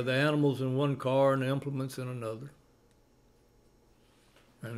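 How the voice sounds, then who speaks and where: A man talks in a medium pitch with an American accent. His intonation stays flat and monotone. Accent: Cajun. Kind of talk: casual conversational storytelling.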